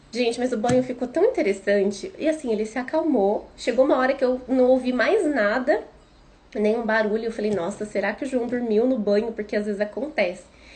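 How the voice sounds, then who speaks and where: Noticeable background noise runs behind a woman talking at a fairly quick pace. Her pitch is high, with ordinary pitch variation. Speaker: parenting educator, mother. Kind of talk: live stream talk. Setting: Instagram live.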